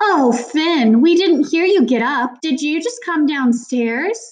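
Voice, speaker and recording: A woman puts on a character voice, high-pitched with very wide pitch swings. She goes at a fairly slow pace. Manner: fake hearty, overly bright.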